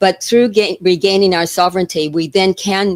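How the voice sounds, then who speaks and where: A woman with an American accent has a plain, everyday voice at medium pitch. She speaks at a moderate pace in a dry, close sound with no echo. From United States. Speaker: retired teacher and wellness advocate. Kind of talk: interview.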